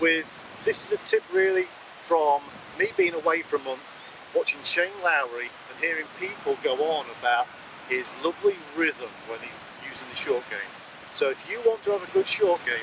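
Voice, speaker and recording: Amid noticeable background noise, a man talks at a moderate pace with long, frequent pauses and big swings in loudness, in a dry recording with no echo. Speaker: golf coach. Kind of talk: tutorial. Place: open country.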